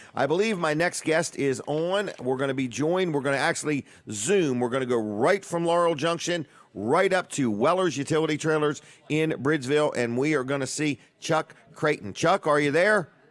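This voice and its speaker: With an American accent, a man speaks in an ordinary speaking voice at a moderate pace and a fairly high pitch, with ordinary pitch variation and very even loudness. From Washington DC area. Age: 60s. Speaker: radio and TV show host. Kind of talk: live radio talk show. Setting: radio studio.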